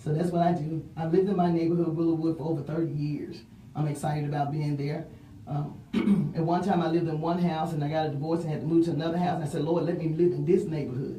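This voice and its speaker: Someone with a Mississippi accent talks at a very fast pace in a monotone, flat intonation, with audible room echo and noticeable background noise. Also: woman, very deep, low pitch for a woman. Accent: US South (Mississippi). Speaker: city council candidate. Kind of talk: interview.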